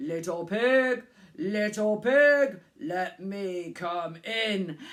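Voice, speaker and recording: A put-on character voice drags along at a very slow pace. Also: man, high pitch for a man. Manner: menacing.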